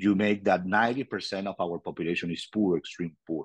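A man with a Venezuelan accent and a fairly low pitch talks at a moderate pace with ordinary pitch variation, in a dry, close sound with no echo and a quiet background. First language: Spanish. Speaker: politician in exile, former mayor. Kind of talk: interview, personal storytelling. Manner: halting, searches for words.

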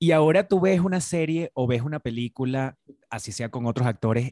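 Speaking at a moderate pace, a man with a medium pitch sounds animated, with ordinary pitch variation. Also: dry, close sound with no echo. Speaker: podcast host. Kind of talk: casual chat.

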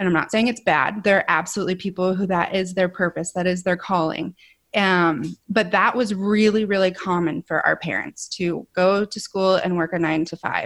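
A woman speaks with a Midwestern American accent at a medium pitch, with fairly even intonation and hardly any pauses. The recording is very clean, with a silent background. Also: moderate pace. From Ohio, US Midwest. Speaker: podcaster. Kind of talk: interview.

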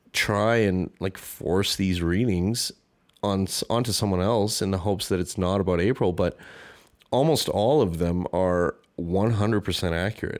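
A man with a Canadian accent speaks at a fairly slow pace in a fairly low pitch, with ordinary pitch variation. It is a plain, everyday voice on a very clean recording with a silent background. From Canada. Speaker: podcast host. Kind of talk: solo podcast monologue, personal reflection. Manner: casual, self-deprecating, conversational.

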